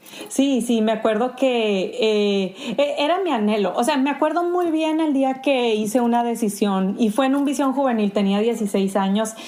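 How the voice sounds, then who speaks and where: A woman with a Sonoran accent and a high pitch talks at a moderate pace with hardly any pauses, very even loudness and ordinary pitch variation, against noticeable background noise. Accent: Sonoran Mexican Spanish. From Sonora, Mexico. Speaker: pastor. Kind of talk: podcast interview. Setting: remote call from home.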